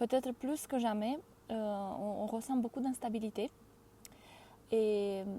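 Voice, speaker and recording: Fairly slow speech from a woman, fairly high in pitch and dark and mellow in tone, with fairly even intonation. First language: not French (speaking French). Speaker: career change coach. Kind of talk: live stream talk. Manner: halting, frequent hesitations; deliberate, careful word choice.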